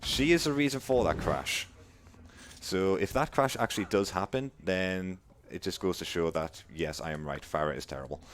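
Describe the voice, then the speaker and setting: In a Geordie accent, a man with a very deep, low pitch speaks at a moderate pace with lively intonation. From northern England, Newcastle. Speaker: speedrunner. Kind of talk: live gameplay commentary. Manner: casual, chatty.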